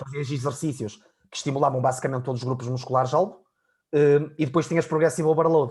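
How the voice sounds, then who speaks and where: Speaking very fast in a European Portuguese accent, a man has a fairly high, somewhat breathy voice and fairly even intonation. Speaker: fitness coach. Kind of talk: casual chat.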